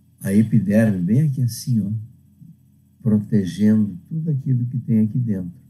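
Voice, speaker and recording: At a moderate pace, a man speaks with a fairly low pitch, a dark, mellow tone and lively intonation. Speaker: teacher. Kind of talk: lecture.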